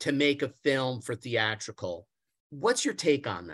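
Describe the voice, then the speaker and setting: A fairly slow pace on a very clean recording with a silent background. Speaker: interviewer. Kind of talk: casual interview.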